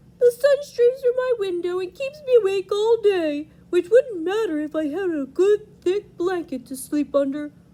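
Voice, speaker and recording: A put-on character voice at an extremely high pitch, moderate pace and hardly any pauses. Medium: read story.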